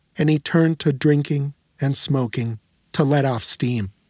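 This is an ordinary speaking voice from a man with an American accent, fairly high in pitch with ordinary pitch variation. He talks at a fairly slow pace, in a dry, close sound with no echo. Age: 50s. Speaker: podcast host and reporter. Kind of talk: documentary narration with interviews.

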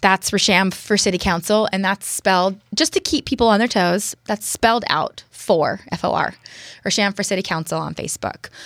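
Here is a woman with a normal speaking voice at medium pitch. Her pace is moderate, and her pitch varies in an ordinary way. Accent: American. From US West Coast, San Francisco East Bay. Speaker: city council candidate. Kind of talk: interview. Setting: studio.

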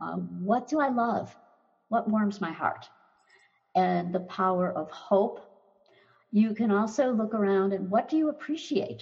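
Somewhat breathy female voice at a medium pitch with ordinary pitch variation, fairly slow, with long, frequent pauses. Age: 70s. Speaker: anxiety doctor, former teacher. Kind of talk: interview.

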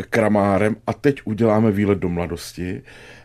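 This man has a dark, mellow tone with some vocal fry, speaking at a moderate pace. The recording is very clean, with a silent background. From Brno, Czechia. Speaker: radio talk show host. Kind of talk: casual interview. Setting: studio.

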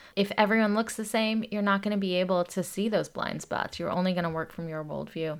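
With an American accent, a woman speaks in an ordinary speaking voice at a medium pitch in a very clean recording with a silent background. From US South, Atlanta, Georgia. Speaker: activist and nonprofit leader. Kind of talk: interview.

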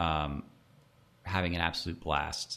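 Delivery comes at a moderate pace. The intonation is monotone and flat. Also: man. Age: 40s. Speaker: restaurateur. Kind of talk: interview conversation.

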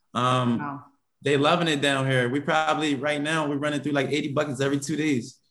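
Speaking at a fairly quick pace, a man with a fairly high pitch keeps a monotone, flat intonation. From West Philadelphia. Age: 30s. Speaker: restaurant owner. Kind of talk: interview.

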